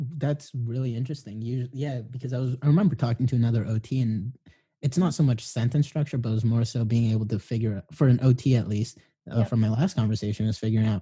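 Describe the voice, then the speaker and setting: Against a quiet background, a man with a somewhat breathy voice and a dark, mellow tone speaks at a very fast pace and medium pitch, with ordinary pitch variation. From Filipino background. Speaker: podcast host. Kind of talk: casual interview chat.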